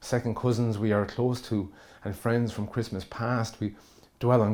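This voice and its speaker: The man's dark, mellow tone moves at a moderate pace with monotone, flat intonation in a very clean recording with a silent background. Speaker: spoken word poet. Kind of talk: spoken word poetry performance.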